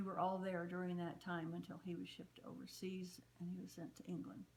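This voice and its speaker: A woman's somewhat breathy, fairly low voice with flat, monotone intonation at a moderate pace. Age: 70s. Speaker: interviewee, daughter of a fallen WWII soldier. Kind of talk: interview testimony. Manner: halting, with fillers and repeats.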